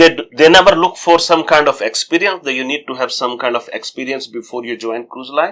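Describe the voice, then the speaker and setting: Speaking in an Indian accent, a man has a bright, sharp tone and a fairly high pitch with ordinary variation. He talks at a fairly quick pace with hardly any pauses and big swings in loudness. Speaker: travel vlogger, cruise crew. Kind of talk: interview.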